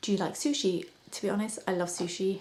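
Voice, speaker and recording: A quiet, fairly low-pitched woman's voice with a British accent, monotone and flat in intonation, at a very fast pace. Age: 30s. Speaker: makeup artist and beauty vlogger. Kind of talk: casual chat. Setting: at home at night. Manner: speaks quietly to avoid waking her son.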